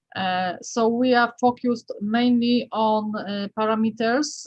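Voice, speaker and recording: A woman's fairly high, somewhat breathy voice moves with fairly even intonation. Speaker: acoustics researcher. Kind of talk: Q&A after lecture. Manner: halting.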